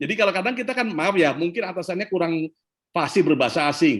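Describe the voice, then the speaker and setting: A man's high voice, animated in tone, with lively intonation. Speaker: leadership speaker. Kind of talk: Q&A talk on leadership. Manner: animated, conversational.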